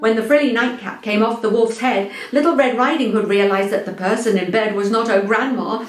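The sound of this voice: An unforced reading voice carries the whole clip.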